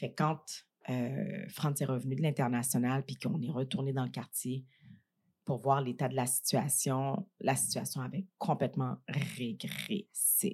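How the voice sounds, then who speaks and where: On a very clean recording with a silent background, a woman with a very deep, low pitch talks at a moderate pace, somewhat breathy, with ordinary pitch variation. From Montreal, Quebec (Saint-Michel, Montréal-Nord). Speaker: entrepreneur and business leader. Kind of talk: casual interview. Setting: studio, eating a meal during recording.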